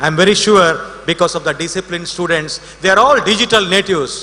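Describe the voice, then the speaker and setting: A man raises and projects his high voice at a fairly quick pace with ordinary pitch variation, amid noticeable background noise. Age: 60s. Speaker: invited speaker at college event. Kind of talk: ceremonial speech.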